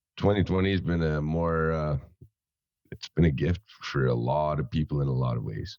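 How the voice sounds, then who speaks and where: A man with an Albertan accent and a very deep, low pitch, in a dry, close sound with no echo. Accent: Canadian (Alberta). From central Alberta, Canada. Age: 20s. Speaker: rapper and welder. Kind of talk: podcast interview.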